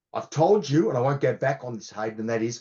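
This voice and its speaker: A man talks in an Australian accent. His intonation is lively and his voice somewhat breathy. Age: 60s. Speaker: cybersecurity consultant. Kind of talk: podcast interview.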